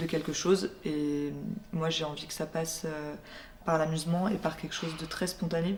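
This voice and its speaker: Over noticeable background noise, a woman speaks with fairly even intonation and a fairly low pitch. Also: moderate pace. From France, Burgundy (Dijon). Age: 20s. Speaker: visual artist. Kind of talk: interview monologue. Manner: hesitant, many filler sounds.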